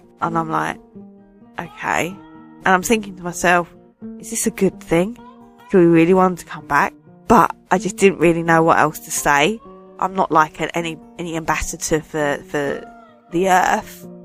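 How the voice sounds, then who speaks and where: A woman with a fairly low pitch speaks at a moderate pace, pausing long and often. Her loudness swings a lot, her pitch varies in an ordinary way, and music plays in the background. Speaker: radio DJ. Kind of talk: casual dream recounting to camera.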